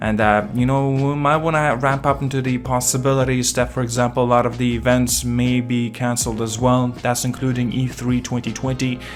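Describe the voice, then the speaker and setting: Over music in the background, a man speaks at a medium pitch in a monotone, flat way. He talks fairly quickly with a non-native accent and hardly any pauses. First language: not English. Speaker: gaming commentator. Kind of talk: casual video commentary. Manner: halting, many fillers and restarts.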